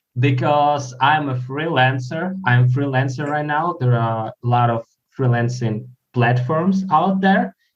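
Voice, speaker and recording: A man with a Ukrainian accent speaks at a fairly slow pace in a medium pitch. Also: ordinary pitch variation. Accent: Ukrainian-accented English (Russian speaker). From Ukraine. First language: Russian. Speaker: freelance video editor. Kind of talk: casual chat. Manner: halting.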